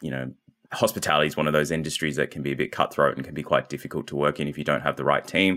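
With a very deep, low pitch and vocal fry, a man speaks in an Australian accent on a very clean recording with a silent background. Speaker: marketing agency founder. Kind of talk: interview.

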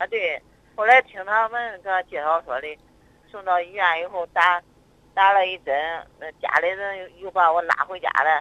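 A moderate pace marked by long, frequent pauses. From Zhumadian, Henan. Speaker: caller, patient. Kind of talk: phone call-in consultation. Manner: hesitant.

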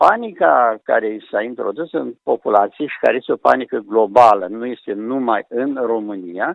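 A man talks at a fairly slow pace. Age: 70s. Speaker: medical professor. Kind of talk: phone interview. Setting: phone call.

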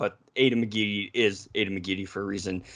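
Against a quiet background, a man with an American accent has a bright, sharp tone, a fairly low pitch and fairly even intonation. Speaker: football fan podcast guest. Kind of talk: casual chat.

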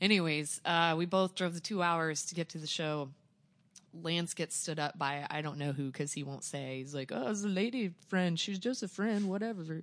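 An American accent at a moderate pace with ordinary pitch variation, in a quiet background. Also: woman, fairly low pitch for a woman. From Joplin, southwest Missouri. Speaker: record store owner. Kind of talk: casual chat. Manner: animated.

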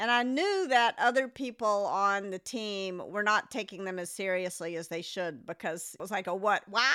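In an American accent, a woman talks at a moderate pace with a bright, sharp tone at medium pitch. Her pitch varies in an ordinary way, on a very clean recording with a silent background. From Memphis, US South. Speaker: podcast co-host.

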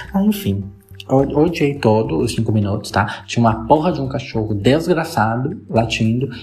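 A man speaks at a moderate pace in a medium pitch with lively intonation. Audible room echo and noticeable background noise come through. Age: 20s. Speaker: podcaster. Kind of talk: casual monologue.

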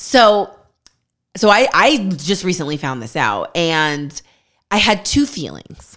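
In a very clean recording with a silent background, a woman speaks very slowly with vocal fry and very wide pitch swings. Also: medium pitch for a woman. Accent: American. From California, Bay Area. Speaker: podcast co-host. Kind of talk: casual chat.

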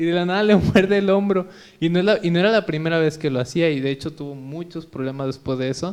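This man talks very fast, his pitch high and its variation ordinary. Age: 20s. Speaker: podcast host. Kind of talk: casual chat.

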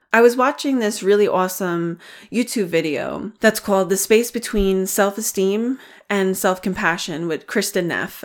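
On a very clean recording with a silent background, a woman speaks at a moderate pace in an ordinary speaking voice. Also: medium pitch for a woman, ordinary pitch variation. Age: 30s. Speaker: wellness podcast host. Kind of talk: solo podcast monologue on self-compassion. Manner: warm, gentle.

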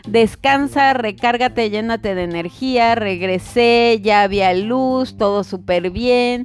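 Very slowly, a woman speaks in a fairly high voice. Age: 30s. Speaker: health coach. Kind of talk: casual monologue.

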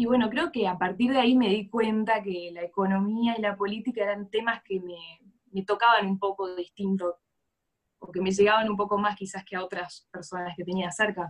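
A woman with a normal speaking voice talks at a moderate pace, her medium pitch carried by fairly even intonation. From Argentina. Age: 20s. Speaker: economics graduate. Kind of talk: interview conversation.

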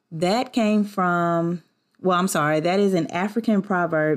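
A woman with a Southern US accent at a fairly low pitch, animated tone, ordinary pitch variation and moderate pace, in a very clean recording with a silent background. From US South. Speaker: podcast host. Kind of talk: casual solo podcast talk. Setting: at home. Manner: animated, laughing often.

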